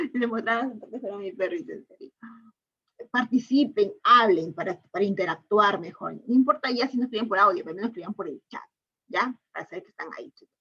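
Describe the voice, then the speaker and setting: A woman speaks at a fairly high pitch and a fairly quick pace, her tone bright and sharp. Her intonation is lively, with big swings in loudness. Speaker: teacher. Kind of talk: online lecture. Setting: online class. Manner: fast.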